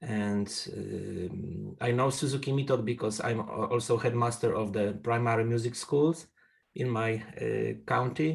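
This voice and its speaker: Speaking at a fairly slow pace with a Polish accent, a man uses a medium-pitched, somewhat breathy voice with ordinary pitch variation. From Poland. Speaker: trumpet player and music school headmaster. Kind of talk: casual chat. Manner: halting.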